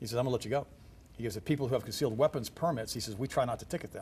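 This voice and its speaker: Speaking very fast with lively intonation, a man uses a medium pitch and sounds somewhat breathy. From Germany. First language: German. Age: 60s. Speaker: health ministry guest. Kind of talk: TV talk show interview. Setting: TV studio.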